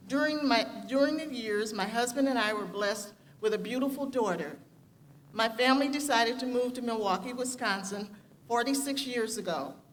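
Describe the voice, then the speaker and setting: A woman talks at a fairly quick pace with an American accent and a fairly high pitch. Her intonation shows ordinary pitch variation, and the room echo is audible. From US Midwest, Gary, Indiana. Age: 70s. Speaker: graduating student speaker. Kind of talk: commencement speech.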